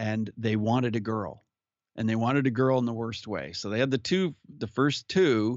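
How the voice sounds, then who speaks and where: This man speaks in an ordinary speaking voice at a medium pitch. His pace is moderate, with ordinary pitch variation. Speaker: podcast guest, musician and speaker. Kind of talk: casual interview, personal story.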